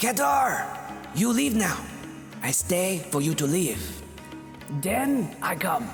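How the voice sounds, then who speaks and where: A put-on character voice at a middle pitch, very slow pace and long, frequent pauses, over loud music in the background. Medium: audio drama. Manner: commanding, clipped broken phrasing.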